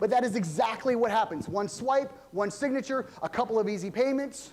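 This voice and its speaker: Speaking at a very fast pace, a man has an extremely high pitch and an animated tone. His pitch variation is ordinary. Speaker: pastor. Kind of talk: sermon. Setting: church. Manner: loud.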